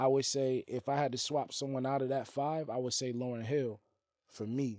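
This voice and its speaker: The recording is very clean, with a silent background. A man with an American accent speaks in a dark, mellow tone, flat and monotone, at a moderate pace. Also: medium pitch for a man. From US Northeast. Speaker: interview host and rapper. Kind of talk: casual interview chat.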